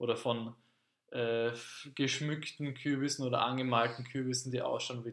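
A man has a normal speaking voice at a medium pitch. His intonation is fairly even. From Austria, Carinthia. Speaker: podcast host, language teacher. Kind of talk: casual chat.

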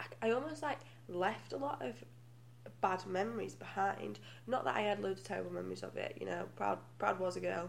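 With a British accent, the speaker moves at a fairly quick pace. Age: 20s. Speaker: guest. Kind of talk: casual chat.

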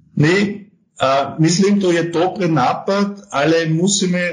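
Very slow speech from a man, its pitch varying in an ordinary way. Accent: German. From Austria. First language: German (speaking Slovak). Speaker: tax advisory firm partner. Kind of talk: interview. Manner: halting, hesitant.

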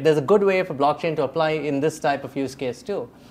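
This is an unremarkable speaking voice with ordinary pitch variation. It moves along at a fairly quick pace. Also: man. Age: 40s. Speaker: podcast host and editor. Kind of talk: interview.

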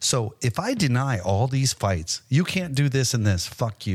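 In a very clean recording with a silent background, a man speaks with lively intonation and a somewhat breathy voice. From Hawaii. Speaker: podcast host and martial arts coach. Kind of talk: casual chat.

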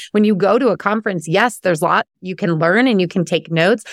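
Speech races along at a very fast pace with lively intonation, recorded very cleanly against a silent background. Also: woman. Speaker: business coach for moms. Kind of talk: casual interview chat. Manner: loud.

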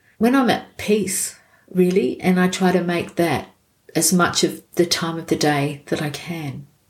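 At a fairly slow pace, a woman talks in a somewhat breathy voice with a fairly low pitch and ordinary pitch variation. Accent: Australian. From Australia. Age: 60s. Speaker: non-profit worker. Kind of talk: casual interview.

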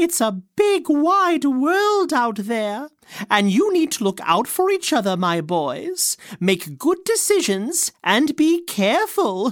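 A female-sounding put-on character voice uses a high pitch, very wide pitch swings and a warm tone. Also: fairly slow pace. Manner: warm, fussing.

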